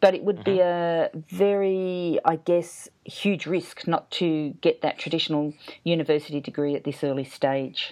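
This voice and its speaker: Speaking at a moderate pace with hardly any pauses, a woman has an Australian accent. Her fairly low voice has a dark, mellow tone. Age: 50s. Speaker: podcast host and writing teacher. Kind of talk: interview. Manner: animated.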